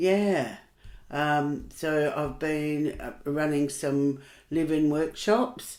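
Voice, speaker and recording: A woman in an Australian accent, at a very slow pace, with a very deep, low pitch and ordinary pitch variation. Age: 70s. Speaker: workshop facilitator. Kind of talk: casual chat.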